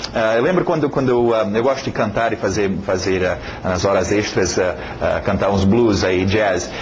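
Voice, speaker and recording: A speaker with a non-native accent is heard with audible room echo and noticeable background noise. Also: man. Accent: foreign accent in Portuguese. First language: English (speaking Portuguese). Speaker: English teacher. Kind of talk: lesson introduction. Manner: halting, many fillers and repetitions; casual, conversational.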